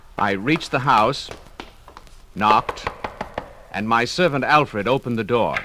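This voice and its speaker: A man speaks at medium pitch with long, frequent pauses. Noticeable background noise is present. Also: ordinary pitch variation, moderate pace. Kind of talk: dramatized first-person ghost story narration.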